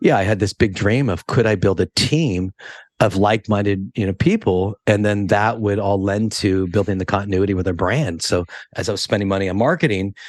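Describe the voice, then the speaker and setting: Against a quiet background, a man speaks with a West Coast accent. His pitch sits fairly low. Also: ordinary pitch variation, fairly quick pace, dry, close sound with no echo. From California, Monterey. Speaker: hairdresser and educator. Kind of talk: podcast interview. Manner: casual, many fillers.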